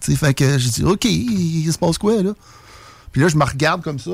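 Lively intonation runs through this voice, along with vocal fry. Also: man. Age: 40s. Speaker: UFO witness. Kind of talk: testimony.

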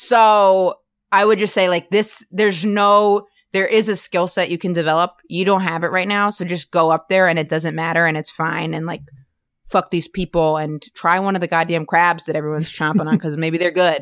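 A woman with an American accent has a plain, everyday voice at a fairly low pitch. She speaks at a moderate pace with fairly even intonation. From US, rural Maine. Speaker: stand-up comedian. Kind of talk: casual interview chat.

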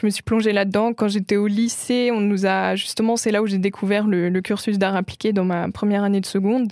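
In a very clean recording with a silent background, a woman at medium pitch talks in a monotone, flat way, at a very even loudness and with hardly any pauses. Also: fairly quick pace. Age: 20s. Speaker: singer and visual artist. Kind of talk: interview. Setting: studio. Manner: soft-spoken.

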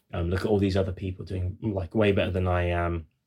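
This man's voice sits very deep and low, somewhat breathy, with flat, monotone intonation. He speaks at a moderate pace, and the recording is very clean with a silent background. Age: 30s. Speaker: musician. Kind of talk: casual chat.

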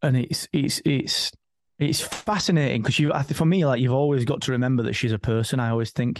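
In a British accent, a man speaks at medium pitch and a fairly quick pace, with ordinary pitch variation and very even loudness. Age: 40s. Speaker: business owner and father. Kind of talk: casual chat.

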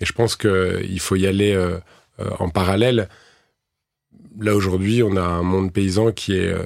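Fairly low in pitch, a man speaks at a fairly slow pace. His intonation stays fairly even. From France, urban area. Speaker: farmer and entrepreneur. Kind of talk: interview. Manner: halting, many hesitations.

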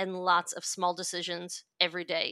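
In a New York accent, a woman with a bright, sharp tone speaks at a moderate pace on a very clean recording with a silent background. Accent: New York American. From US, New York. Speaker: venture investor. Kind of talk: interview.

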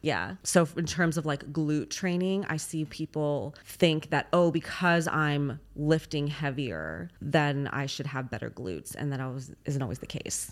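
On a very clean recording with a silent background, a woman with a Californian accent speaks at a fairly slow pace with a very deep, low pitch and ordinary pitch variation. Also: hardly any pauses. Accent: Californian American. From Los Angeles, US. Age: 30s. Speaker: fitness competitor and coach. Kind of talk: casual interview.

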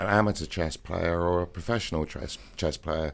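On a very clean recording with a silent background, a man with an English accent speaks with ordinary pitch variation. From England. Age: 50s. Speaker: DJ. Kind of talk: interview.

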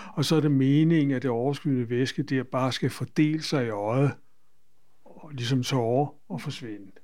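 The speech moves at a moderate pace with ordinary pitch variation, big swings in loudness, and a dark, mellow tone. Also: man, medium pitch for a man. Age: 80s+. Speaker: patient. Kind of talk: interview. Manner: halting.

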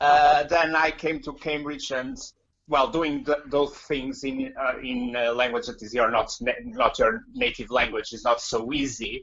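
With a Portuguese accent, a man speaks at a moderate pace in a fairly high pitch. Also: lively intonation. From Portugal, Porto. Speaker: comedian. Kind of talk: casual interview. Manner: halting.

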